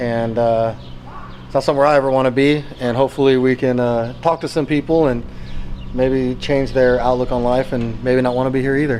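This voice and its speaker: A man speaks at a fairly quick pace with an American accent and monotone, flat intonation over noticeable background noise. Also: medium pitch for a man. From US West Coast. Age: 30s. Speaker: army veteran and motivational speaker. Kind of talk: casual chat; motivational talk. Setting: jail.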